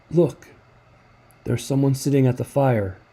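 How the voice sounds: A man does a raspy put-on character voice at a medium pitch. His pace is moderate, and his pitch variation is ordinary.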